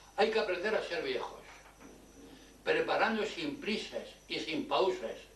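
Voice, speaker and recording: A man speaks at a fairly slow pace. Noticeable background noise and audible room echo are present. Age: 80s+. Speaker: elderly local commentator. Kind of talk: reading aloud.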